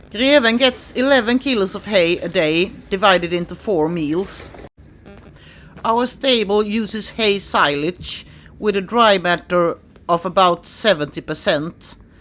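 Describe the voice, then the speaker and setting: A woman with a Swedish accent speaks at a medium pitch. Her intonation is lively and her pace fairly slow. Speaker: horse owner vlogger. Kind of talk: scripted narration.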